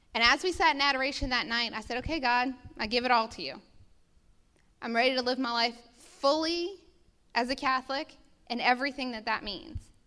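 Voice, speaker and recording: In a raised, projected voice, a woman speaks fairly quickly at a high pitch, her tone bright and sharp. Her pitch varies in an ordinary way, and she leaves long, frequent pauses. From US South, New Orleans. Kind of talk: testimony.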